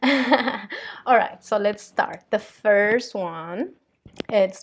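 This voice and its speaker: This speaker talks at a very slow pace with a Spanish accent. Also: woman, fairly high pitch for a woman, ordinary pitch variation. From Colombia. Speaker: vlogger and spiritual channeler. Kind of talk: casual vlog monologue. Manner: hesitant, many fillers.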